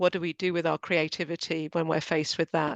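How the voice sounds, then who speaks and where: A woman talks at a fairly quick pace in a fairly low pitch with monotone, flat intonation. The sound is dry and close with no echo, over a quiet background. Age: 60s. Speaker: panelist. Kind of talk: panel discussion.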